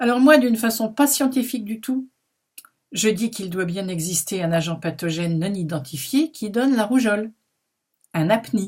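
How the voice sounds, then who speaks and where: Her voice is fairly high and somewhat breathy. The woman leaves long, frequent pauses. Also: lively intonation, moderate pace. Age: 70s. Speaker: anti-vaccine activist vlogger. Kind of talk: opinion monologue to camera.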